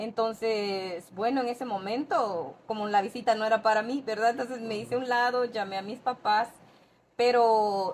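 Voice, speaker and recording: With a normal speaking voice, a woman talks at a moderate pace in a fairly high pitch with ordinary pitch variation. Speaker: podcast guest. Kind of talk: casual interview storytelling.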